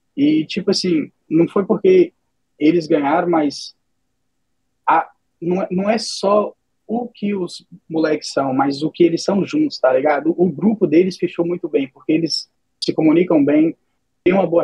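A man speaks in a high voice at a moderate pace with ordinary pitch variation. The sound is dry and close, with no echo. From Brazil, Minas Gerais. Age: 20s. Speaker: esports team owner. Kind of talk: casual interview.

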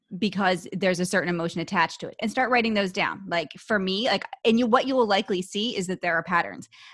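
A woman with an unremarkable speaking voice talks at a medium pitch with ordinary pitch variation. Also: very clean recording, silent background. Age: 40s. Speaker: online fitness coach and powerlifter. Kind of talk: podcast interview.

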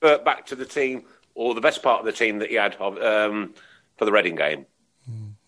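A man talks in a bright, sharp tone with ordinary pitch variation. He leaves long, frequent pauses. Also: medium pitch for a man, moderate pace. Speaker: football podcast host. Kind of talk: casual chat, show hosting.

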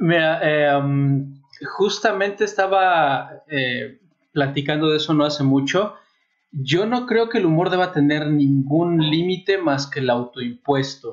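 At a very slow pace, with a central Mexican accent, the speech holds a very even loudness and ordinary pitch variation. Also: man, fairly high pitch for a man. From Mexico City, raised partly in Puebla. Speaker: nanotechnologist guest. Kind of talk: casual chat.

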